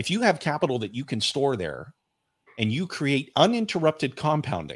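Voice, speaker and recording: A man talks at a moderate pace with a fairly high pitch and vocal fry. His pitch swings very widely on a very clean recording with a silent background. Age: 40s. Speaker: financial coach and author. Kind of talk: interview.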